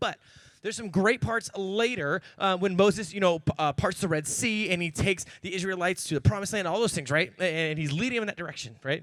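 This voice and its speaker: Talking at a very fast pace, a man with an American accent uses a high pitch, lively intonation and an animated tone. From Oregon, US. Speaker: youth pastor. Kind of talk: sermon. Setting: church with audience.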